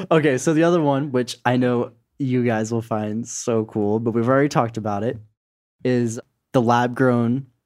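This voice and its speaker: A man in an unremarkable speaking voice, medium in pitch, moderate in pace, with fairly even intonation. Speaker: podcast co-host. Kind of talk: casual banter.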